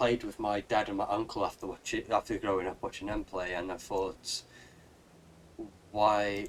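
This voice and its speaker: With a Welsh accent, a man with a fairly low pitch talks at a fairly slow pace in a monotone, flat intonation. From Wales. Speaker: gaming streamer. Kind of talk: live gameplay stream chat. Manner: casual, halting with fillers.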